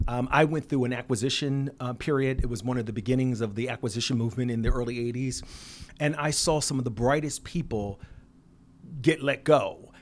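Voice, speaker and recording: Using an American accent, a man talks at a fairly quick pace with medium pitch, fairly even intonation and an unremarkable speaking voice. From Philadelphia, US Northeast. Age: 50s. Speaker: business founder and CEO. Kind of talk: interview. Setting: office.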